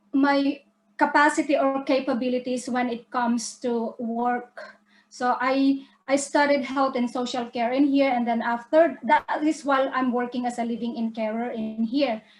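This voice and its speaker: A woman's high-pitched, flat monotone at a moderate pace, in a Filipino accent. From Philippines. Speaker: business presenter. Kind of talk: online webinar presentation.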